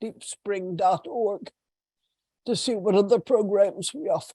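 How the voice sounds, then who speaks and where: A dark, mellow tone moves at a fairly slow pace in a dry, close sound with no echo. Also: woman. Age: 80s+. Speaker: meditation teacher and trance channel. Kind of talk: spiritual talk to an online group. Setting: video call.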